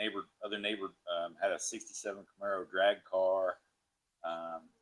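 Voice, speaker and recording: The man talks at a fairly quick pace. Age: 60s. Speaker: car enthusiast. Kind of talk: casual interview.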